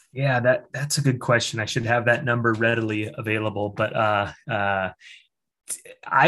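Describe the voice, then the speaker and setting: Against a quiet background, a man with a normal speaking voice talks fairly slowly at a medium pitch with fairly even intonation. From Iowa. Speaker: brewery owner. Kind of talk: casual chat.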